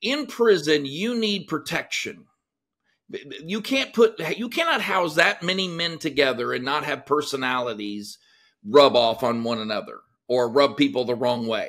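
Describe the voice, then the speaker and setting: Here a man speaks with a Texan accent. His fairly high voice swings very widely in pitch. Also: moderate pace. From Texas. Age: 50s. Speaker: former prison guard. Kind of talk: interview.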